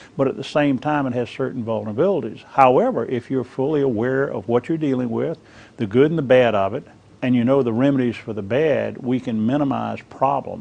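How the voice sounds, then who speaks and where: In a plain, everyday voice, a man talks at a fairly quick pace with a medium pitch and ordinary pitch variation. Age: 60s. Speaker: interviewed expert on internet safety. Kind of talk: interview.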